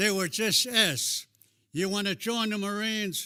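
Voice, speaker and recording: The voice is raised and projected, at a moderate pace with ordinary pitch variation. The recording is very clean, with a silent background. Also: man. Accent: American. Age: 90s. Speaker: war veteran. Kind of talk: speech.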